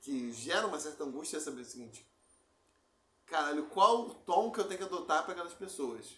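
A man with a high pitch and a bright, sharp tone speaks at a fairly quick pace with lively intonation. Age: 30s. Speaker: podcast co-host. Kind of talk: casual chat.

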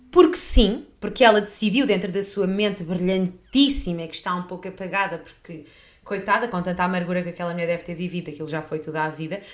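With a European Portuguese accent, a woman talks very fast in an animated tone, her loudness swinging widely over noticeable background noise. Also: medium pitch for a woman, ordinary pitch variation. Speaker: podcast host. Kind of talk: casual chat.

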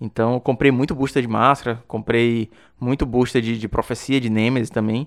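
On a very clean recording with a silent background, a man speaks at a moderate pace in a medium pitch with monotone, flat intonation. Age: 30s. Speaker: podcast host, card game player. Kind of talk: interview, casual chat.

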